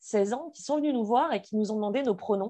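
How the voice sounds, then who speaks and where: Over a quiet background, a woman speaks with a dark, mellow tone and very wide pitch swings. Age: 20s. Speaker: activist sharing personal story. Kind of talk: testimony.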